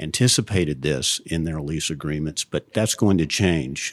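The recording is very clean, with a silent background and a dry, close sound with no echo, and the pitch varies in an ordinary way. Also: man. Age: 50s. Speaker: real estate lawyer. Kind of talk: interview.

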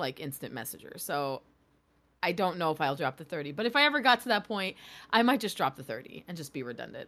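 In a very clean recording with a silent background, a woman with an American accent talks at a very fast pace, her fairly low, bright, sharp voice making very wide pitch swings and big swings in loudness. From small-town New York. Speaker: streamer and author. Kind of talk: casual chat.

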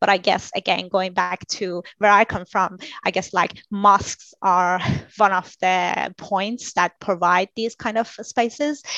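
Speaking with a Persian accent at a fairly slow pace, a woman has a bright, sharp tone, recorded with a dry, close sound with no echo. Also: medium pitch for a woman. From Iran. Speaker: architect. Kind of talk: interview. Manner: halting.

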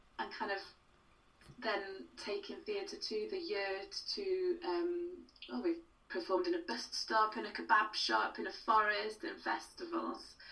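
At a fairly slow pace, a woman projects her high voice in a bright, sharp tone, with very wide pitch swings. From Wales. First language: Welsh. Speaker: playwright. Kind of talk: casual interview.

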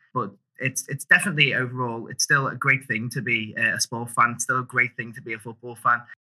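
A man with a Liverpool accent talks at a very fast pace, his voice medium in pitch with a bright, sharp tone. His loudness swings widely. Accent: Scouse (Liverpool). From Liverpool, England. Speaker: campaigner for sustainable sport sponsorship. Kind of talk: interview conversation. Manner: animated; hesitant, many fillers and repetitions. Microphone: microphone issues.

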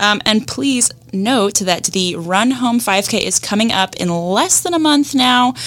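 A woman's unremarkable speaking voice, fairly high in pitch, with lively intonation, a fairly slow pace and hardly any pauses. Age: young. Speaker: podcast co-host, digital marketer. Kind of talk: casual interview chat; scripted outro with announcements.

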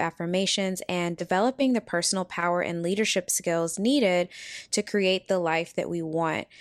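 With a normal speaking voice, a woman talks at a medium pitch and a fairly quick pace, the sound dry and close with no echo. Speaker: podcast host and wellness consultant. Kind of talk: guided meditation. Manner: gentle, measured, with long pauses.

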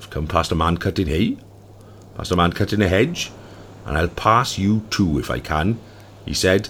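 The tone is dramatic and animated, with vocal fry and ordinary pitch variation. Long, frequent pauses break up the speech. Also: man, very deep, low pitch for a man, moderate pace. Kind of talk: folk tale reading. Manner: animated, doing character voices; storyteller pacing with dramatic pauses.

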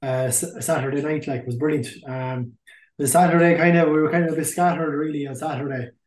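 In a southeast Irish accent, a man with a fairly high voice talks very fast and keeps his intonation fairly even. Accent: Irish (Carlow). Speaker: hurling team captain. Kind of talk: casual interview. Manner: hesitant, many fillers.

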